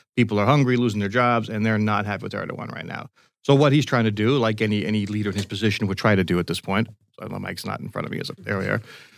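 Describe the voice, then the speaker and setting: Against a silent background in a very clean recording, a man talks at a very fast pace with fairly even intonation. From Greek-American family. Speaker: geopolitical risk consultant. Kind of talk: casual chat.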